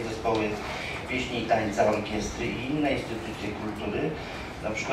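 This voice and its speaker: Audible room echo and noticeable background noise surround the voice. A man talks at a moderate pace. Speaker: employee council representative. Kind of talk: conference speech. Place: hall.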